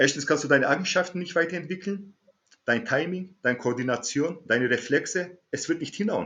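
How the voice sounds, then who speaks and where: With a high pitch and ordinary pitch variation, a man speaks at a fairly quick pace. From Germany. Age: 40s. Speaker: martial arts instructor. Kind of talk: interview.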